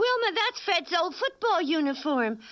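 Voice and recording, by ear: Speaking at a fairly slow pace, a woman uses a cartoonish character voice with an extremely high pitch, big pitch swings and a fairly bright tone.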